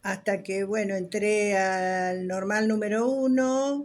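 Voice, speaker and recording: A woman speaking at a very slow pace. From Argentina, Rosario (moved from Buenos Aires at seven). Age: 70s. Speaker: retired dance teacher. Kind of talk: interview testimony. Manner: hesitant, with fillers.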